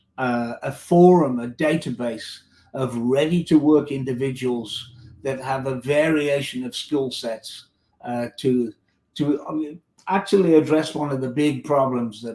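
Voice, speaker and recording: Big swings in loudness mark this fairly slow delivery, with a dark, mellow tone and ordinary pitch variation. The speaker has a slight British accent. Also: man, medium pitch for a man. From United Kingdom. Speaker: tech company executive. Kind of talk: interview.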